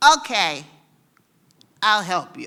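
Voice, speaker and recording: This is a put-on character voice at a medium pitch. It sounds female. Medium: read story. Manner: giggling, playful.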